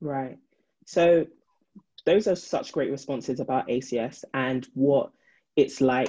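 A woman with a very deep, low voice and a dark, mellow tone, using ordinary pitch variation over a quiet background. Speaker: moderator. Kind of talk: panel discussion. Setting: video call. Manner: warm, upbeat. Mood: warm, upbeat. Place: home room. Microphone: video call.

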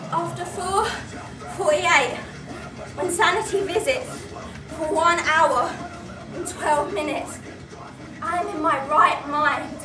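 Over clear background music, a woman projects a raised voice at a fairly slow pace, with ordinary pitch variation and long, frequent pauses. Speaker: drama student actor. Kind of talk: dramatic theatre monologue. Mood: anguished, intense. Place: stage. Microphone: camera far.

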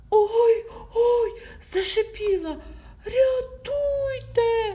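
A put-on character voice at an extremely high pitch hisses along at a very slow pace over light background noise. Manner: hissing, frightened.

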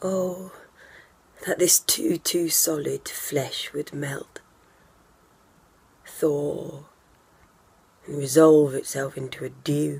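A woman's very deep, low voice, very slow and fairly even in intonation, with long, frequent pauses. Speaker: stage actor. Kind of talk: Shakespeare monologue performance. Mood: weary, bitter, grieving. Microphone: phone near.

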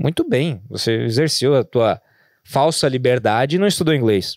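Against a quiet background, the voice swings very widely in pitch. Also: man, dry sound with no echo. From Rio Grande do Sul, Brazil. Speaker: business founder, franchise entrepreneur; podcast guest. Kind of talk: podcast interview. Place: studio. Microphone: studio mic.

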